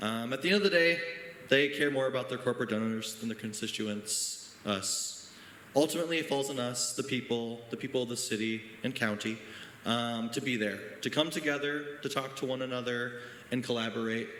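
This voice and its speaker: A man with an American accent at a fairly quick pace, ordinary pitch variation, audible room echo and noticeable background noise. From Janesville, Wisconsin, US Midwest. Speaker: teacher speaking at town hall. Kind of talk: public comment speech. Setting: town hall meeting, high school. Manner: hesitant, many fillers.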